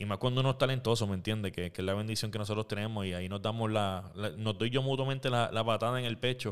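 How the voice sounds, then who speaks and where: Talking very fast with hardly any pauses, a man uses a fairly low pitch and a Puerto Rican accent. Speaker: podcast host. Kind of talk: casual chat. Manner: animated.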